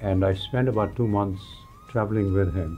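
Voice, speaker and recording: With music behind him, a man talks in a fairly low register. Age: 80s+. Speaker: yoga teacher. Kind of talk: interview answer.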